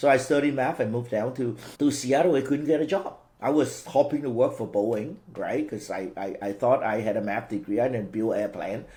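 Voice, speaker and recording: In a Cantonese accent, a man at a medium pitch speaks at a moderate pace with a dark, mellow tone and ordinary pitch variation. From Vietnam, Cantonese-speaking family. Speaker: franchise business owner. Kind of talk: interview. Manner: halting, repeats words.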